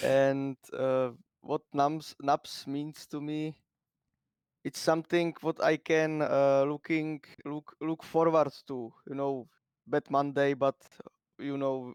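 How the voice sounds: A man speaks slowly at a medium pitch, with little pitch movement. His tone is clear, smooth and slightly mellow, and the sound is dry and close with no echo.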